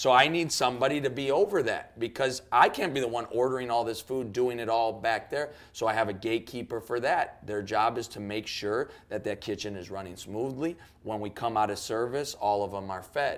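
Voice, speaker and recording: On a very clean recording with a silent background, a man with an American accent and a normal speaking voice talks at a fairly quick pace with a medium pitch, ordinary pitch variation and hardly any pauses. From Chicago, US (Cuban family). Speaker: youth pastor. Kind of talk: podcast interview.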